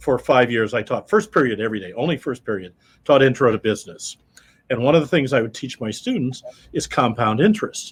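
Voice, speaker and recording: A fairly quick, somewhat breathy man's voice with an American accent and very wide pitch swings. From US Midwest, Iowa. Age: 70s. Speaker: accountant. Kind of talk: interview. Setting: radio studio.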